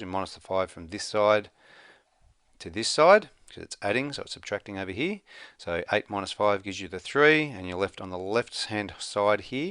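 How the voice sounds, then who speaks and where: Over a quiet background, a man puts on a raspy character voice at a fairly low pitch and a moderate pace. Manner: very fast talking.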